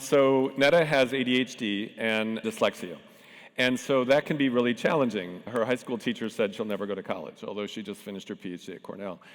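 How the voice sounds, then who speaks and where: At a fairly quick pace, an unremarkable speaking voice shows big swings in loudness and ordinary pitch variation. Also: man, medium pitch for a man. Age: 60s. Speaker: tech founder and panel moderator. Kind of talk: conference panel talk.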